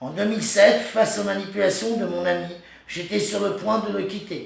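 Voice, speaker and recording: A man at a moderate pace with ordinary pitch variation and audible room echo. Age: 40s. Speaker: person telling his own story. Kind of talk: personal testimony. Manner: halting, stammering.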